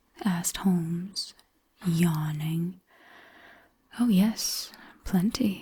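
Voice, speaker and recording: Soft-spoken and somewhat breathy, a woman talks with a dark, mellow, gentle tone at medium pitch. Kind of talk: sleep story audiobook narration. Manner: soft-spoken, gentle, slow.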